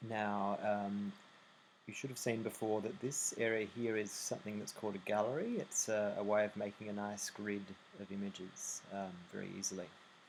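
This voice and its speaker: The speaker talks with an Australian accent and fairly even intonation. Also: man, fairly low pitch for a man, moderate pace. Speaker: website tutorial maker. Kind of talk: screen-recording software tutorial. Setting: low recording volume. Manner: hesitant, many fillers.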